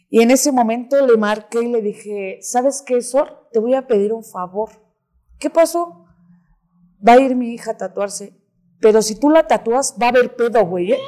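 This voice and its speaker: Talking at a moderate pace, a woman has a fairly high pitch and a Mexican accent. Her tone is dark and mellow. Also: ordinary pitch variation. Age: 30s. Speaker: recovering addict. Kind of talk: interview testimony. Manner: animated.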